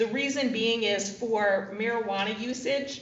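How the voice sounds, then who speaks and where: A woman at a moderate pace with fairly even intonation, amid noticeable background noise and audible room echo. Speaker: defense attorney. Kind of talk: court hearing. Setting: courtroom podium. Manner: formal.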